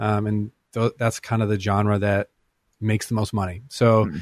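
This is a man with an unremarkable speaking voice, fairly low in pitch and at a moderate pace. The sound is dry and close with no echo, over a quiet background. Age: 30s. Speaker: worship leader and musician. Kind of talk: interview. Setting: radio studio.

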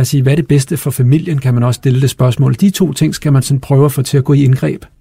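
Fairly high-pitched for a man, his dark, mellow tone comes through somewhat breathy at a fairly quick pace. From Copenhagen, Denmark. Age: 40s. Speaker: company CEO. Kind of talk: interview.

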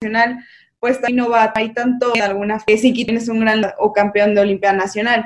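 A woman talks at a moderate pace in a fairly high pitch with fairly even intonation. Hers is an unremarkable speaking voice. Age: 20s. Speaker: professional athlete. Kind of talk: interview.

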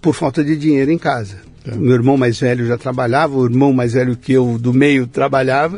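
At a fairly quick pace, a man talks in a plain, everyday voice at a medium pitch. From Brazil, São Paulo city. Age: 60s. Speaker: branding consultant. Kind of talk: interview conversation.

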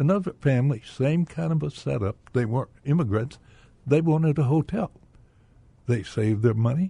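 A man speaks at a fairly high pitch with a dark, mellow tone and a somewhat breathy quality, recorded with a dry, close sound and no echo. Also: lively intonation, moderate pace. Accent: American. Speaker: retired businessman, bank director. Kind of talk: radio interview. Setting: radio studio.

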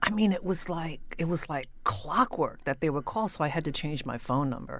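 Woman with an unremarkable speaking voice in an American accent, fairly low-pitched, at a moderate pace with ordinary pitch variation, on a very clean recording with a silent background. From South Jersey, US. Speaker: person in addiction recovery. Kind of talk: personal testimony interview.

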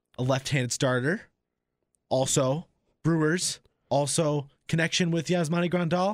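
Speaking with an American accent, a man uses a fairly high pitch with ordinary pitch variation, a moderate pace, very even loudness, and long, frequent pauses. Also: very clean recording, silent background. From San Diego, California. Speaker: radio producer co-hosting a sports podcast. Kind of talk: casual sports chat. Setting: studio.

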